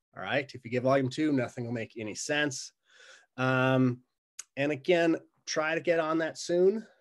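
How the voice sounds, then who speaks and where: A man talks in an unremarkable speaking voice at a fairly high pitch. His pace is moderate, his pitch variation is ordinary, and the background is quiet. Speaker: college instructor. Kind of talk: recorded course introduction. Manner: casual, conversational.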